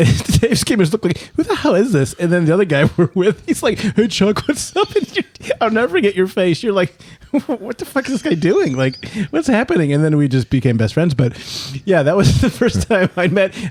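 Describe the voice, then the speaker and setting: A man's high-pitched, animated voice at a fairly quick pace, with very wide pitch swings and very even loudness. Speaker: podcast host. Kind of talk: casual chat. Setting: studio. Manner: fast.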